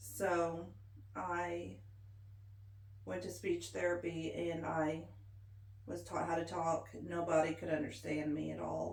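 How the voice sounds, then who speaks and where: With audible room echo, a woman in an American accent speaks at a very slow pace, leaving long, frequent pauses. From Missouri Ozarks. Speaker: military veteran and interviewee. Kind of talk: oral history interview. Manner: casual, conversational.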